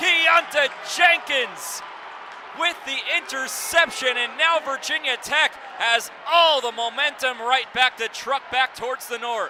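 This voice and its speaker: This man's voice sits at an extremely high pitch. Noticeable background noise can be heard. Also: ordinary pitch variation. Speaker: sports broadcaster, play-by-play announcer. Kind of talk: live radio football play-by-play.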